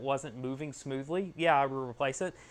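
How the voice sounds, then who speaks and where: A man talks at a fairly quick pace in a fairly high pitch. The background is quiet. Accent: American. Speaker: 3D printing YouTuber. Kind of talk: live stream tutorial. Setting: garage. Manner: casual, chatty.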